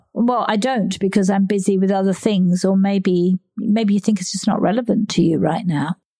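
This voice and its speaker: A woman talks at a moderate pace with a medium pitch. Her tone is dark and mellow, and somewhat breathy. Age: 60s. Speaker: podcast host and menopause coach. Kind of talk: interview conversation.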